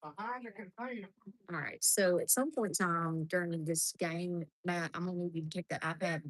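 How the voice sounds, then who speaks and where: A woman with an Alabama accent and a fairly low pitch speaks at a moderate pace over a quiet background in a dry, close sound with no echo. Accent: US South (Alabama). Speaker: softball game commentator. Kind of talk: live commentary. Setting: outdoors at softball field.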